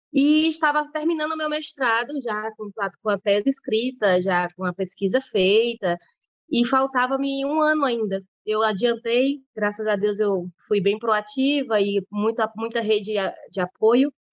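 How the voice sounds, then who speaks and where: In a plain, everyday voice, a woman with a fairly high pitch speaks at a fairly slow pace with lively intonation, in a dry, close sound with no echo. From Brazil, Piauí. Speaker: veterinarian and pig farm manager. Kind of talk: interview.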